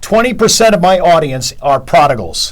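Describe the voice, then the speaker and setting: An American-accented man speaks with very wide pitch swings over noticeable background noise. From Chicago. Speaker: radio talk show host. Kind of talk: radio interview.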